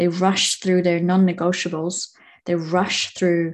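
Calm in tone, a woman speaks fairly slowly at a fairly low pitch. Her pitch moves little.

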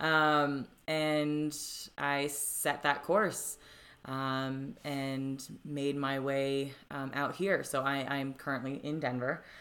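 A woman's very deep, low voice with an American accent, very slow, with fairly even intonation. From Florida, US. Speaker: life coach. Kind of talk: interview, personal story. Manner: many fillers, hesitant.

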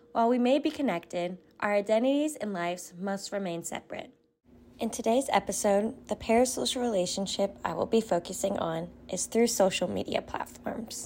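A woman at medium pitch with lively intonation and a fairly quick pace, an unremarkable speaking voice, in a very clean recording with a silent background. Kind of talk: scripted narration. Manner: formal.

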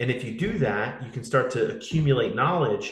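Somewhat breathy, a man speaks at a fairly quick pace with a medium pitch. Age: 30s. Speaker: fitness coach and podcast host. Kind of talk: casual interview conversation.

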